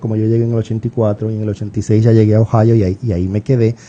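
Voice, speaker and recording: A man speaks at a very fast pace with a strong Puerto Rican accent. His medium-pitched voice has a dark, mellow tone. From Puerto Rico, Caguas. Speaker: writer and university professor. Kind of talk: radio interview.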